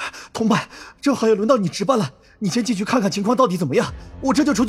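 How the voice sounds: Natural voice for reading aloud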